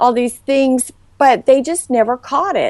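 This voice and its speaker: The speaker has a Southern US accent and a fairly slow pace. The sound is dry and close, with no echo. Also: woman. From US South, Charleston, South Carolina. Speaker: former model. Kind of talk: interview.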